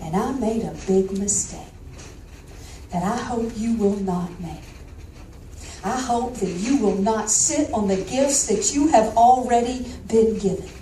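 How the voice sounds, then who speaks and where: With a Southern accent, a woman speaks fairly slowly in a fairly high pitch with ordinary pitch variation and long, frequent pauses, amid noticeable background noise and audible room echo. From US South, Georgia. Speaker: motivational speaker. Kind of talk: keynote speech. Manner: animated.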